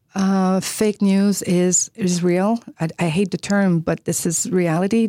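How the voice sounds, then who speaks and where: A woman's voice with a Quebec accent, medium in pitch and dark, mellow in tone, in a dry, close sound with no echo on a very clean recording with a silent background. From Quebec, Chicoutimi. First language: French. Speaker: media executive and former journalist. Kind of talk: interview. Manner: hesitant, many fillers.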